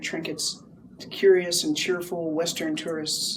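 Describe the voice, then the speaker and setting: A woman's fairly low voice with an American accent, fairly even intonation and a moderate pace, over noticeable background noise. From United States. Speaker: poet. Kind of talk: poetry reading. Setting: live venue.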